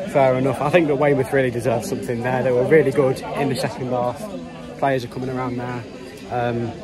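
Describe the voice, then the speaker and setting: A man at a very fast pace, dry with no echo, crowd noise in the background. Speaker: football fan vlogger. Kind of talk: casual vlog chat. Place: stadium. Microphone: phone near.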